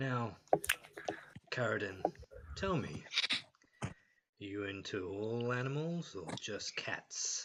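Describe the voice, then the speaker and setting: Someone uses a put-on character voice, speaking fairly slowly with long, frequent pauses. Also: man, medium pitch for a man. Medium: actual play.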